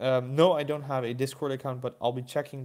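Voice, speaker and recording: Spoken with a Dutch accent and fairly even intonation, the clip is a very clean recording with a silent background. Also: man. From Netherlands. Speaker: toy collector YouTuber. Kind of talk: live stream chat. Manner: hesitant, many fillers.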